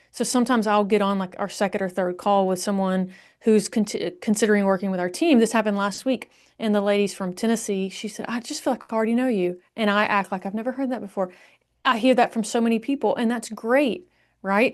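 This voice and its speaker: In a strong Southern US accent, a woman with a fairly high voice talks at a very fast pace. Her pitch varies in an ordinary way, and the background is quiet. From Alabama, US South. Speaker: marketing agency founder. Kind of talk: podcast interview. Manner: conversational.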